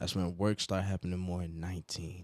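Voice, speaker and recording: In a very clean recording with a silent background, a man with an American accent speaks at a very deep, low pitch. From Nigeria, Port Harcourt. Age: 20s. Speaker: rapper. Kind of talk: casual chat. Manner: animated.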